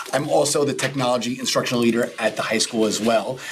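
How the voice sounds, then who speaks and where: Through noticeable background noise, a man with an American accent talks at a fairly quick pace with fairly even intonation. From New York. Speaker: school librarian. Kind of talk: presentation to school board.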